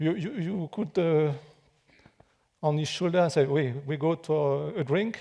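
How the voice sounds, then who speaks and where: A man's fairly high, dark and mellow voice in a French accent, fairly slow with ordinary pitch variation. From France. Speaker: architect and pyramid researcher, guest lecturer. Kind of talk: public lecture. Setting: theater with live audience. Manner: halting, many fillers and restarts.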